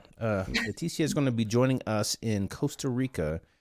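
A man speaks in a very clean recording with a silent background. The sound is dry and close, with no echo. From South Korea. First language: Korean. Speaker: podcast host and photographer. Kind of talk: casual chat.

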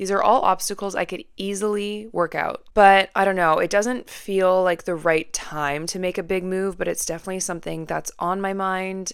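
Speaking at a fairly quick pace with a Western Canadian accent, a woman keeps a medium pitch and fairly even intonation on a very clean recording with a silent background. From Canada, Vancouver. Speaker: podcast host. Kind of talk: casual monologue. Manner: chatty, filler-heavy.

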